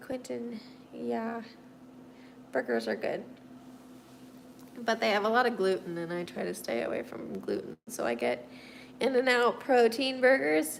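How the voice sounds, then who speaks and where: A woman with an American accent at a fairly slow pace, with long, frequent pauses. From US Midwest (Missouri). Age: 30s. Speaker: livestreamer, artist with quadriplegia. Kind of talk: casual livestream chat answering viewer comments.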